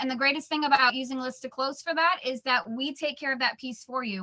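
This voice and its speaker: This woman speaks with a high pitch and fairly even intonation. She moves at a very fast pace. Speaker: client relationship manager for transaction coordinator company. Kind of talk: sales pitch.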